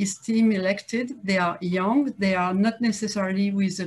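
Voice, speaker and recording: A woman with a French accent speaks at medium pitch with ordinary pitch variation. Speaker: politician, city advisor. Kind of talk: conference talk. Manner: halting, many fillers and repetitions.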